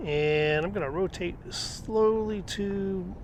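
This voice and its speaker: With ordinary pitch variation, a man speaks in a room with audible echo. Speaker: travel vlogger. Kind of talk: casual narration. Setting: outdoors.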